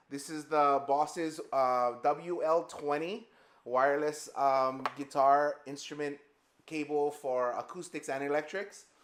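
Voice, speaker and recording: The delivery is very slow. Intonation stays fairly even. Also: man. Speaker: guitarist and amp builder. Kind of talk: product demo. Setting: edited live video stream. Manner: loud. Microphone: powered studio mic set low.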